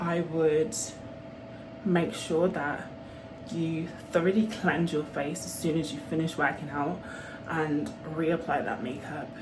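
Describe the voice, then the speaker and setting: A woman with a Birmingham accent talks at a fairly slow pace with long, frequent pauses, her fairly low pitch and fairly even intonation set against audible room echo and noticeable background noise. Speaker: vlogger. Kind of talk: casual vlog talk.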